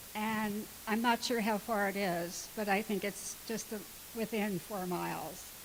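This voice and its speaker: Amid noticeable background noise, a woman talks with monotone, flat intonation. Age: 80s+. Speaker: resident speaking at public hearing. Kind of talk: public comment at hearing. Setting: township board meeting. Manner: halting, hesitant.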